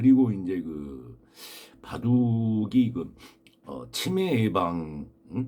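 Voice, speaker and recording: A man speaks in a dark, mellow tone. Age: 60s. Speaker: amateur baduk youtuber. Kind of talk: casual monologue. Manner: hesitant, many fillers.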